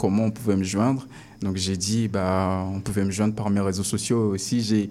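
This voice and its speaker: At a moderate pace, a man speaks in a fairly low, monotone voice with flat intonation. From Congo. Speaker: rapper. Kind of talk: interview. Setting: studio.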